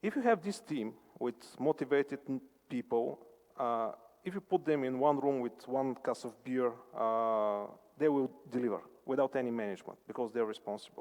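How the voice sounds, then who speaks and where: A man speaks at a moderate pace and medium pitch, with ordinary pitch variation. His speech has long, frequent pauses. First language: non-English. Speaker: conference speaker answering questions. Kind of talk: conference Q&A answer. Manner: halting, many fillers.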